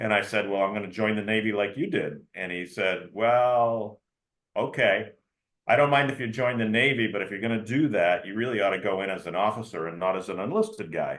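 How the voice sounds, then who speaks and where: A man talks at a fairly quick pace in a plain, everyday voice with an American accent. His fairly low pitch shows ordinary variation. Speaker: retired navy submarine commander and lawyer. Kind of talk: interview.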